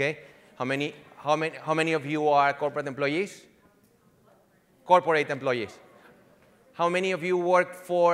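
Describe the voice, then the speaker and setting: A man with a slight Venezuelan accent talks at a fairly quick pace in a fairly high voice, with fairly even intonation and long, frequent pauses. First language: Spanish. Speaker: digital marketing executive. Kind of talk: conference presentation. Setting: conference stage with audience. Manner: halting, many fillers and restarts.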